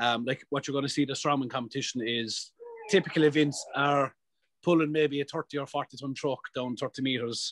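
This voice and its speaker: A man with an Irish accent talks at a fairly quick pace in a fairly high pitch, his intonation fairly even and the sound dry and close with no echo. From Ireland. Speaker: professional strongman athlete. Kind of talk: podcast interview answer. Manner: casual, profane.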